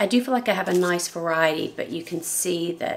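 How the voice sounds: Over audible room echo, a woman talks at a fairly quick pace in a raspy, fairly low voice with ordinary pitch variation.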